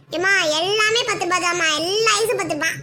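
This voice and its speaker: Using a cartoonish character voice, a woman speaks at an extremely high pitch and a fairly slow pace with ordinary pitch variation. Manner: calls customers warmly as ma.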